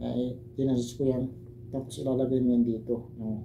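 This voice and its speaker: A man speaks at a medium pitch and moderate pace in a monotone, flat intonation. His tone is dark, mellow and somewhat breathy, with audible room echo. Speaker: herbal remedy vlogger. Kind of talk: tutorial. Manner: casual, hesitant. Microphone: broken mic, voice too quiet.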